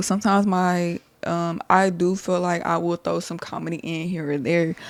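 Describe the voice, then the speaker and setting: A fairly low-pitched woman's voice with an American accent and fairly even intonation. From Texas, Dallas-Fort Worth area. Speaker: podcast host. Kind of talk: casual monologue. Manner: rambling, conversational.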